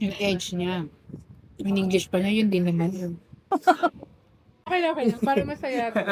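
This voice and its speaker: A woman talks at a fairly quick pace with lively intonation and a medium pitch. Her pauses are long and frequent. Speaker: vlogger. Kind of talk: casual chat. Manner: usually loud, quieter here.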